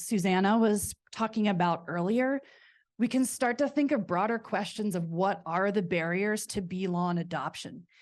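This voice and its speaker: A woman with an unremarkable speaking voice talks at a fairly slow pace and medium pitch, with ordinary pitch variation, over a quiet background. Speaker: researcher. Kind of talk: conference presentation.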